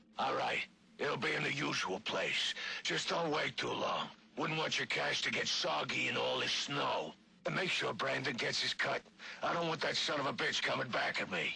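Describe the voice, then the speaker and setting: Using a put-on character voice, a man speaks at a fairly high pitch and a moderate pace. Clear background noise is present. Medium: video game. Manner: blunt, gruff.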